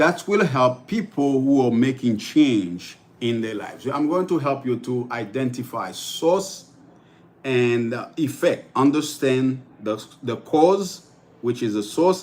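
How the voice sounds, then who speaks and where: A man talks at a fairly slow pace with a Haitian accent. His pitch sits in the medium range and varies in an ordinary way. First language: Haitian Creole. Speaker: life coach. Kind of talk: livestream motivational talk. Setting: live stream. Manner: halting, many fillers and repetitions.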